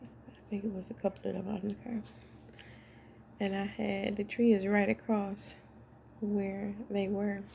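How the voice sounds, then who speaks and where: Speaking at a fairly slow pace with long, frequent pauses, a woman uses a monotone, flat intonation in a somewhat breathy voice, her loudness swinging widely. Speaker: spiritual vlogger. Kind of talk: casual monologue.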